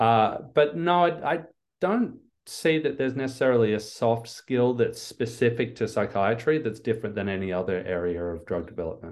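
At a moderate pace, a man speaks with lively intonation at a medium pitch. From Australia. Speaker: neuroscientist and biotech executive. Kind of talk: interview.

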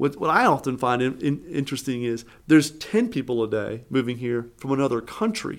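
A man at a medium pitch with an American accent and a plain, everyday voice, fairly quick, with ordinary pitch variation. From Eastern North Carolina. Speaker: economic development director. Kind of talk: interview.

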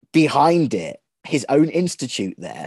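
A man talks with a dark, mellow tone and fairly high pitch. The sound is dry and close with no echo, against a quiet background. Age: 30s. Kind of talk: interview.

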